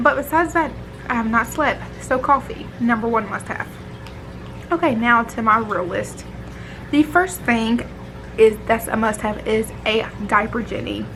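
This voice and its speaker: Against noticeable background noise, a woman speaks slowly at a fairly high pitch with ordinary pitch variation and long, frequent pauses. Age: 20s. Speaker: mom vlogger. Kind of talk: casual vlog talk. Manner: casual, filler-heavy.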